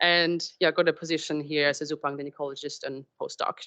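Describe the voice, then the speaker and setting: With a German accent, a woman is speaking. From Germany. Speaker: marine scientist. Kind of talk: public talk. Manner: halting.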